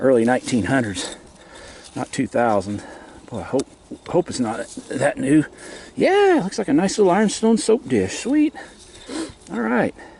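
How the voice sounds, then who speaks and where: A man talks in a relaxed tone, leaving long, frequent pauses. Noticeable background noise runs underneath. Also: moderate pace. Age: 60s. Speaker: bottle digging video maker. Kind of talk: casual vlog narration. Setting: outdoors, digging at a dump. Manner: relaxed, with fillers.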